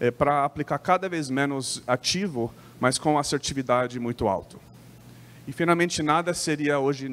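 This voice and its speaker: With an American accent, a man speaks at a moderate pace and medium pitch with ordinary pitch variation, in a very clean recording with a silent background. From United States. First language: English (speaking Portuguese). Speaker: company sales lead presenting. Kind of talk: trade show presentation. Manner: halting, many false starts and fillers.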